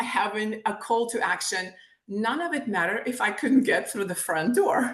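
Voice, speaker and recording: The speaker has a Ukrainian accent and lively intonation. Audible room echo surrounds the voice. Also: woman. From Ukraine, Kyiv. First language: Ukrainian or Russian. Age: 50s. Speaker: author and sales trainer. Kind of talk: interview. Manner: animated.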